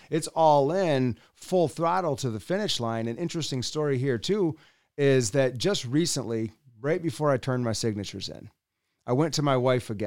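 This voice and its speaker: A man with an Upper Midwest accent speaks at medium pitch and a moderate pace, with lively intonation and big swings in loudness. The recording is very clean with a silent background. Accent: Upper Midwest American. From West Michigan. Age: 40s. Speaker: political candidate. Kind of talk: interview. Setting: in-person studio.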